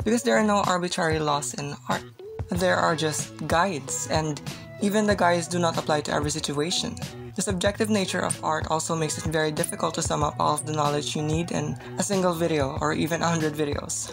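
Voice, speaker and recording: A woman talks at a fairly quick pace with lively intonation and a very deep, low pitch. Music plays in the background. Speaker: digital artist. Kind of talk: casual voice-over talk.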